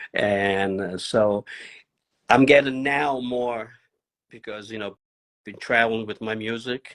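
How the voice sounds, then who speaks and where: A man at a medium pitch, fairly even intonation, big swings in loudness, and long, frequent pauses. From Italy, Turin; raised in New York. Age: 60s. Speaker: drummer and percussionist. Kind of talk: interview. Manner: halting.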